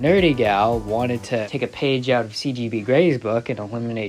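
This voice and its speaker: A man with an American accent speaks with music in the background. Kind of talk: competition results voiceover. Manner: casual, profane.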